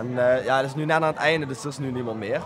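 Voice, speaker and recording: Noticeable background noise sits behind a man talking at a very fast pace. His pitch is medium and his intonation fairly even. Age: 20s. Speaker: volunteer foundation co-founder. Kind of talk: interview. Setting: community centre. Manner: hesitant, many filler sounds.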